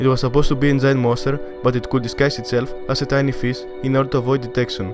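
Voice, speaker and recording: Music plays in the background as a man with a non-native accent speaks at a very fast pace. His pitch is medium and his intonation monotone and flat. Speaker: educational YouTuber. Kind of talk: educational documentary narration.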